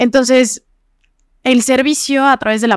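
Heard in a dry, close sound with no echo, a woman speaks at a high pitch and a moderate pace. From Morelos, Mexico. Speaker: young economist and political activist. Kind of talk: casual interview. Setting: studio.

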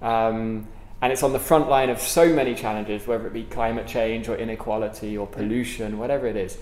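Through noticeable background noise, a man with a London accent talks at a very fast pace, medium in pitch with fairly even intonation. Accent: British English, London. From London, England. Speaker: author and speaker. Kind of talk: casual interview conversation. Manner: hesitant, many fillers and repeats.

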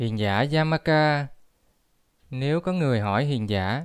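On a very clean recording with a silent background, a man with a plain, everyday voice and a medium pitch talks at a fairly slow pace with lively intonation. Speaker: Buddhist lecturer. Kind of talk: lecture.

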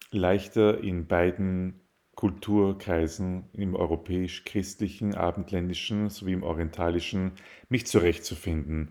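Fairly even intonation carries speech delivered at a fairly slow pace. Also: man. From Austria, Vienna. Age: 30s. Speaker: podcast guest. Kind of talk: interview.

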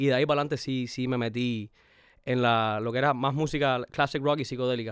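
On a very clean recording with a silent background, a man with a Cuban accent talks at a very fast pace, with monotone, flat intonation at a medium pitch. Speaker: rapper and producer. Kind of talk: casual chat.

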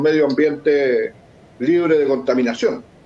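This man has a fairly high pitch and a dark, mellow tone, and he speaks at a fairly slow pace. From Chile, Lota. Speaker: political candidate, former councillor. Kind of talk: online panel discussion.

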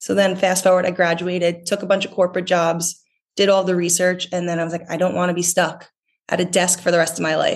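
A woman talks at a very fast pace. Her fairly low voice stays monotone and flat. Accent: American. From US, North Jersey. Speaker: swimwear company founder. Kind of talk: casual interview chat.

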